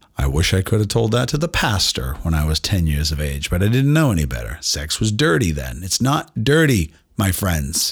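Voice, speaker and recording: A man with a very deep, low pitch and a somewhat breathy voice makes very wide pitch swings at a moderate pace, with hardly any pauses. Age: 50s. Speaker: doctor and podcast host. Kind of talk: casual monologue. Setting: home studio. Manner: animated.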